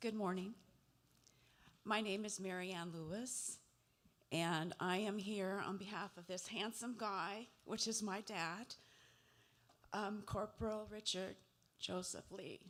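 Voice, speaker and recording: The speech is very slow, broken by long, frequent pauses. Its intonation stays fairly even. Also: woman, medium pitch for a woman. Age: 70s. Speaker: family member of missing soldier. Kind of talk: public remarks at family meeting. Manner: halting, many fillers.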